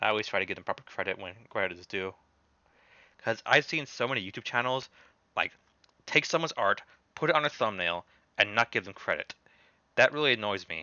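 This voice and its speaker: A man speaks at a very fast pace in a medium pitch, with lively intonation. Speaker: gaming YouTuber. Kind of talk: livestream commentary. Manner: halting, repeats words.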